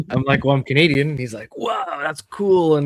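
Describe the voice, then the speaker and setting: The sound is dry and close, with no echo. A man speaks at a fairly quick pace in a fairly high pitch with ordinary pitch variation. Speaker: comic collector. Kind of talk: casual chat.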